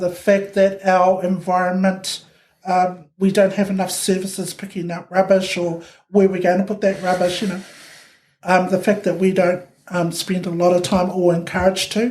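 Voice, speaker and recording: Speaking at a moderate pace with a New Zealand accent, a woman keeps a medium pitch and a monotone, flat intonation. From New Zealand, Ōtara, South Auckland. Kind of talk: podcast interview answer.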